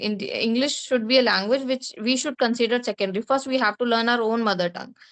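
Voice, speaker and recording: A woman with a Bengali accent at a very fast pace, high-pitched for a woman with ordinary pitch variation, in a dry, close sound with no echo against a quiet background. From India (Bengali-speaking). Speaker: English speaking tutor. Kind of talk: conversation practice interview.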